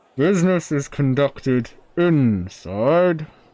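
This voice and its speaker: A man puts on a character voice at a fairly high pitch. He speaks at a fairly slow pace with lively intonation. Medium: actual play. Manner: curt, hostile.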